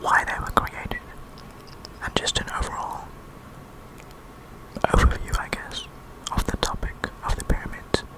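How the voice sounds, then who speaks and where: Whispering at a moderate pace with long, frequent pauses, a man speaks over noticeable background noise. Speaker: ASMR creator. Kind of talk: ASMR educational narration. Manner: whispered.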